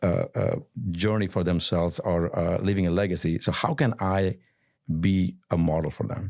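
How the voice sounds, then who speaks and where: At a moderate pace, a man with an Indian accent and a very deep, low pitch speaks with ordinary pitch variation in a very clean recording over a silent background. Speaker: real estate entrepreneur. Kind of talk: podcast interview. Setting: studio. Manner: halting, repeats words.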